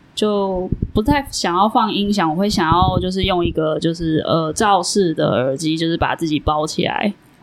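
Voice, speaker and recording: Over noticeable background noise, a woman speaks with ordinary pitch variation and hardly any pauses. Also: medium pitch for a woman, moderate pace. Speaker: podcast host. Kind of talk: casual chat. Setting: small studio room.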